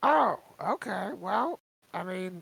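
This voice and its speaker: A put-on character voice at a middle pitch. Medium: actual play. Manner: casual, slightly dim.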